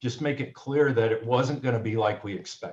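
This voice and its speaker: Somewhat breathy, the man's voice sits at a medium pitch with ordinary pitch variation. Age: 70s. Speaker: author. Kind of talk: panel discussion.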